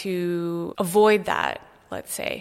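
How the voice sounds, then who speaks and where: A plain, everyday voice on a very clean recording with a silent background. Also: woman. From Canada (Toronto), earlier Brazil and South Africa. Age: 30s. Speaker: artist. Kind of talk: interview. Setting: artist's studio.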